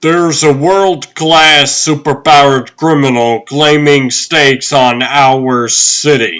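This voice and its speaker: Using a put-on character voice, a man speaks fairly high and fairly slowly, with ordinary pitch variation and hardly any pauses. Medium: fan dub. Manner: brisk, authoritative.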